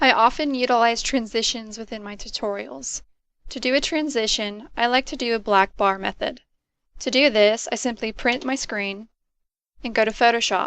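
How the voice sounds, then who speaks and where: A soft-spoken woman talks at a moderate pace and a fairly high pitch, with ordinary pitch variation. Her loudness swings widely over a quiet background. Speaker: student presenter. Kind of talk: presentation.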